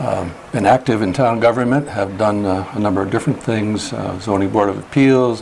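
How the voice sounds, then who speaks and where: A fairly low male voice with ordinary pitch variation, moderate in pace, over noticeable background noise. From upstate New York (Schenectady). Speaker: retired probate judge, ethics board member. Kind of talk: interview.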